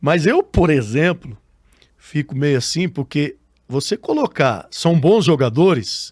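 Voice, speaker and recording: A man's fairly high voice at a very slow pace, with lively intonation, in a very clean recording with a silent background and a dry, close sound free of echo. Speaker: radio sports announcer, podcast guest. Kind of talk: interview answer.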